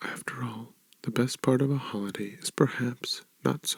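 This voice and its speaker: The sound is dry and close, with no echo. A soft-spoken man talks at a moderate pace in a medium pitch with ordinary pitch variation. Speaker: ASMR reader. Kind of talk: ASMR book reading. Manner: soft-spoken, relaxing.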